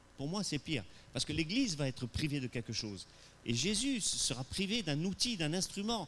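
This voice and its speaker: At a moderate pace, a man with a fairly high voice talks with very wide pitch swings. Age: 60s. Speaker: pastor. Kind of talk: sermon. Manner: animated; hesitant with repetitions.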